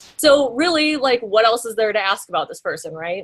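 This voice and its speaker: A woman speaks with a Midwestern American accent. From US Midwest, small-town Iowa. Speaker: graphic designer. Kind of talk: guest lecture. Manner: casual, many fillers.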